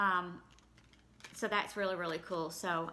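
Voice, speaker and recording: A woman's bright, sharp tone at a moderate pace over light background noise. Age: 40s. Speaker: YouTuber. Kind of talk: product unboxing. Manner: casual, with fillers. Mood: pleased, mildly excited. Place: home room. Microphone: phone near.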